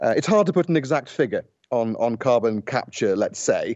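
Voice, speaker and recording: A man with a British accent, at a moderate pace, with very wide pitch swings. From Britain. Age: 40s. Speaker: journalist, former war correspondent. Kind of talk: radio interview. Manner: hesitant, many fillers.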